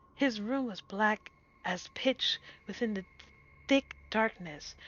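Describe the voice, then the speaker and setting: Her intonation is lively. The woman keeps to a fairly slow pace. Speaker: VTuber streamer. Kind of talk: horror story reading.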